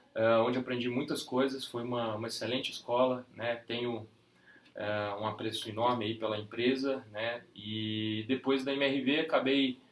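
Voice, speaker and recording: Speaking at a moderate pace, the man keeps his medium-pitched voice in a flat, monotone intonation. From Brazil, Minas Gerais (Ipatinga, Vale do Aço). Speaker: real estate sales director. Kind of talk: interview.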